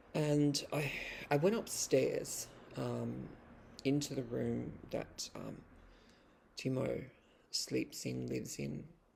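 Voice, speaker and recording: Speaking with an Australian accent, the voice moves at a very slow pace with long, frequent pauses. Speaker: vlogger and poet. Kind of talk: casual vlog monologue. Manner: hesitant, many fillers and restarts.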